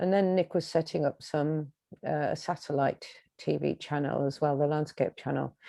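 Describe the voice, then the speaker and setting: A woman with an English accent has a very deep, low pitch and a dark, mellow tone. Her intonation is fairly even, and the sound is dry and close with no echo. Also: moderate pace. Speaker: singer-songwriter. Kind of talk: interview. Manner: halting.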